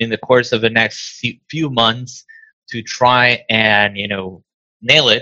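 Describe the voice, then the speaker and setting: This man has a bright, sharp tone at a medium pitch. His intonation stays fairly even. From Venezuela. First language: Spanish. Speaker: diabetes nonprofit founder. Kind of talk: interview. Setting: video call.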